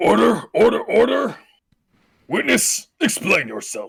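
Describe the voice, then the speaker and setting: A put-on character voice from a man at a fairly slow pace. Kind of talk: formal courtroom authority. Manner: commanding.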